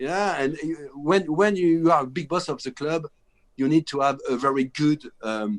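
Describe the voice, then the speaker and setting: A man's fairly high voice at a moderate pace. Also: ordinary pitch variation. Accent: French. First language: French. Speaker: film director. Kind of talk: interview. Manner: halting.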